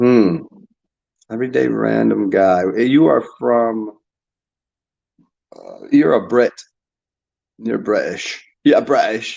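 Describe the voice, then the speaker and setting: A man with a Northeastern US accent speaks at a very slow pace, with long, frequent pauses. His loudness swings widely. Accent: American, Northeast. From US Northeast. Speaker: YouTuber. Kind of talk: casual monologue reacting to comments. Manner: halting, many fillers and repetitions.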